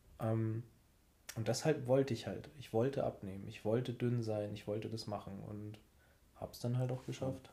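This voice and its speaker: A man's somewhat breathy, dark, mellow voice at medium pitch and moderate pace, fairly even in intonation but with big swings in loudness. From Munich, Bavaria. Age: 30s. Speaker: podcast co-host. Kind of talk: casual chat.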